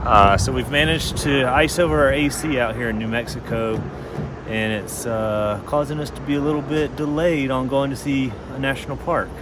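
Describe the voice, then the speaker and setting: A man talks at a medium pitch and a moderate pace, with ordinary pitch variation. Noticeable background noise and audible room echo surround him. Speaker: family travel vlogger. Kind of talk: casual vlog narration. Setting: outdoors by RV, then inside a cave.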